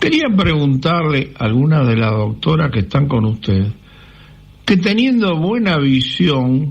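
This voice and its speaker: Somewhat breathy and fairly high in pitch, a man speaks at a very slow pace with very wide pitch swings. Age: 80s+. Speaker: caller. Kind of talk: recorded listener question.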